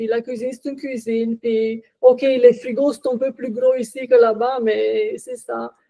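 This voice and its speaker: With a Romanian accent, a woman speaks at a high pitch and a fairly slow pace. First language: Romanian (speaking French). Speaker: podcast guest, author. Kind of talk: casual interview.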